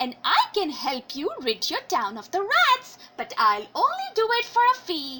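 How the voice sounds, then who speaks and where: A woman speaks at a moderate pace in a put-on character voice pitched extremely high, her pitch swinging very widely. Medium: read story. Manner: calm, firm.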